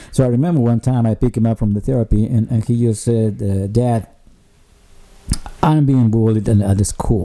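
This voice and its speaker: A man talks at a moderate speed while noticeable noise runs in the background. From Mexico. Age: 50s. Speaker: bereaved father. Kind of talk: interview testimony. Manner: halting, repetitive.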